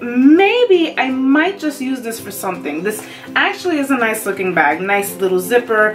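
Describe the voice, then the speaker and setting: Clear music plays in the background. Over it, a woman speaks at a fairly slow pace. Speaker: beauty vlogger. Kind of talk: casual unboxing vlog chat. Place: home room. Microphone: phone near.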